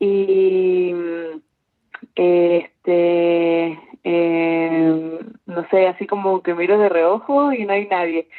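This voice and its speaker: A woman with a fairly low pitch keeps her intonation fairly even, talking at a very slow pace. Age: 20s. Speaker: university student. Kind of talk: casual chat.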